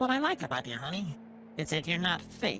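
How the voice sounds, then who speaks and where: A put-on character voice at a middle pitch, with very wide pitch swings over clear background noise. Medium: read story. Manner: warm, flattering.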